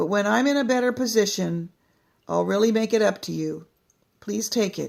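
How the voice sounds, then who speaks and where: A put-on character voice, female-sounding and fairly high, at a moderate pace with long, frequent pauses. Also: very clean recording, silent background. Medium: read story.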